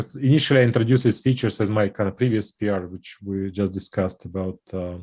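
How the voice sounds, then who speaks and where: This man talks at a very fast pace with hardly any pauses, his fairly low pitch carrying a dark, mellow tone. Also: ordinary pitch variation. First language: not English. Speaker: software developer. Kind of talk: technical meeting discussion. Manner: halting.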